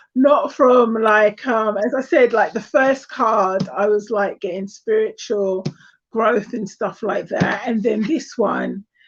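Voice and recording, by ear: A woman speaks at a slow pace with a slightly husky edge. Her pitch varies in an ordinary way. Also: medium pitch for a woman.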